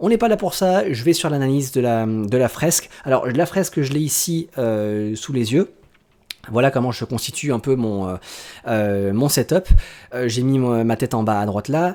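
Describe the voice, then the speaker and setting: With a dark, mellow tone and lively intonation, a man speaks at a medium pitch. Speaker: YouTuber, One Piece analysis. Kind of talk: video commentary / analysis. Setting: home desk setup with webcam and screens. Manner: fast; hesitant, many fillers.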